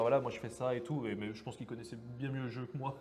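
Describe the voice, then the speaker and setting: Noticeable background noise sits behind a man's voice. He speaks at a very fast pace with a medium pitch. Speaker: card game stream commentator. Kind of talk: live commentary. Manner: animated.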